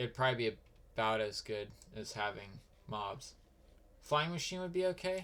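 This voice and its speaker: A man speaks with very wide pitch swings and long, frequent pauses. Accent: American. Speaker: game streamer. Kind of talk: casual live-stream chat while gaming. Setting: live stream.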